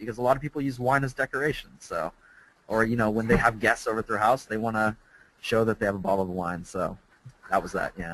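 Very rapid male speech at mid pitch, its pitch varying in an ordinary way. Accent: General American. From US West Coast. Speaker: English teacher. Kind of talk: webinar presentation. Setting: online webinar.

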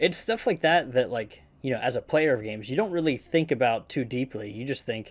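Ordinary pitch variation in a normal speaking voice, at a fairly quick pace. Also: man. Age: 20s. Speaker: gaming podcast host. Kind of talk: casual interview. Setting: video call.

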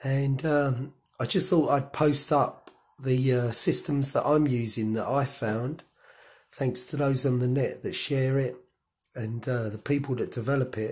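Very clean and silent in the background, this recording has a man speaking at a medium pitch with fairly even intonation. His voice is somewhat breathy and his pace fairly slow. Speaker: cycling vlogger. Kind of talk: casual tutorial. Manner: hesitant, many fillers.

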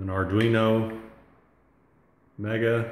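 In a room with audible echo and light background noise, a man speaks in a fairly low, somewhat breathy voice with monotone, flat intonation. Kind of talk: tutorial. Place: home room. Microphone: phone near.

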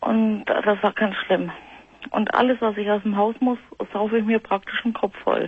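A woman's monotone, flat delivery at a moderate pace and very even loudness. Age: 40s. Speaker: caller with panic disorder; radio caller. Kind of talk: phone-in call. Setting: phone call. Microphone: phone line.

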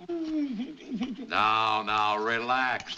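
A man with very wide pitch swings over light background noise. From United States. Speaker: film actor. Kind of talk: film dialogue. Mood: mock-soothing, impatient. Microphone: old recording.

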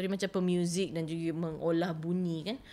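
A woman speaks at a fairly low pitch. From Malaysia, Kuala Lumpur. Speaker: writer and translator. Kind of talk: interview. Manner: halting.

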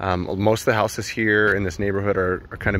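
The delivery is monotone, with flat intonation. The sound is dry with no echo, over light background noise. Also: man. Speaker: property walkthrough narrator. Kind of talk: casual property walkthrough commentary. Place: street. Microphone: phone near.

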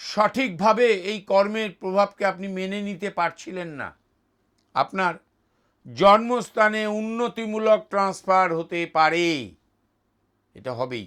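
In a very clean recording with a silent background, a man speaks at a high pitch with ordinary pitch variation and big swings in loudness. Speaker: astrologer. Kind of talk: astrology forecast monologue.

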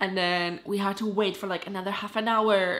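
A woman is speaking. Her pace is moderate. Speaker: vlogger. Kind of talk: casual vlog chat. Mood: animated, exasperated storytelling. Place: home room. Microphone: phone near.

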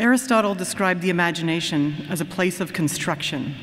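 Her pitch is fairly low as the woman talks at a moderate pace. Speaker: professor. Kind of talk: formal convocation introduction speech. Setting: stage with audience. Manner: formal. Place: hall. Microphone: podium.

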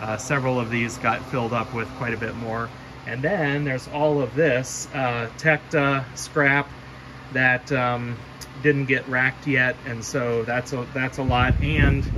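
Noticeable background noise accompanies speech at a fairly slow pace. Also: man, fairly even intonation. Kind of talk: casual vlog chat. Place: workshop. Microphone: phone near.

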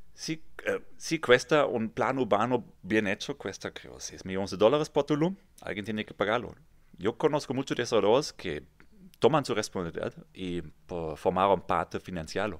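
Against a quiet background, a man with a fairly low pitch talks at a moderate pace, his intonation lively and his loudness swinging widely. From Germany, near Kassel; Germany. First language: German (speaking Spanish). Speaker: real estate developer; guest. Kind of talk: interview. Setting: studio. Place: studio. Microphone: studio mic.

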